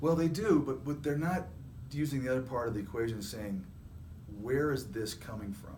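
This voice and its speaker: A somewhat breathy man speaks with lively intonation, and audible room echo surrounds his voice. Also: medium pitch for a man. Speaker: staffing agency CEO. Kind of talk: casual chat. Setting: video recording. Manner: fast; animated.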